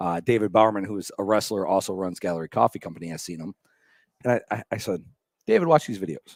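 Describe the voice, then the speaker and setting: Speaking very fast with an American accent, a man uses a fairly low pitch and ordinary pitch variation, recorded with a dry, close sound and no echo. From Michigan. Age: 30s. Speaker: radio host. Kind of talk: casual chat. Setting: coffee shop.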